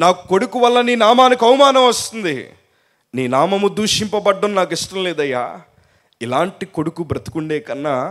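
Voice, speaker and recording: This man's voice sits high in pitch. It rises and falls in very wide swings. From coastal Andhra Pradesh, India. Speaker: pastor. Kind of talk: sermon.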